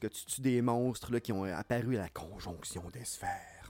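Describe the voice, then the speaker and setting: A man talks in a normal speaking voice with lively intonation. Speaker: podcast co-host. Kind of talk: casual chat.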